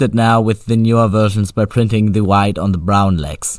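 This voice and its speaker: A man speaks with a non-native accent. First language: not English. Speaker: toy reviewer. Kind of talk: product review. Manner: casual.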